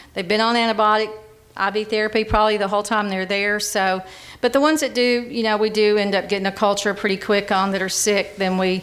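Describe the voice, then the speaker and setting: A woman talks at a very fast pace in an Alabama accent. Her pitch is medium and her intonation fairly even. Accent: Southern US (Alabama). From US South (Monroe County, Alabama). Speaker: hospital pharmacist and interim CEO. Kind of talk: conference presentation. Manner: conversational, halting with repetitions.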